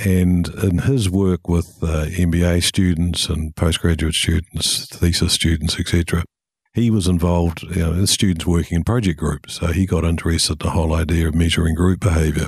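A man speaks in a very deep, low voice, somewhat breathy, with very even loudness, fairly even intonation and hardly any pauses. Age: old. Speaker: organizational consultancy chairman. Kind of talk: casual interview, explaining history.

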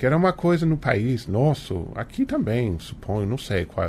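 A man speaks at a fairly slow pace with very wide pitch swings. His voice is somewhat breathy. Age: 40s. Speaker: author. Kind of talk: interview.

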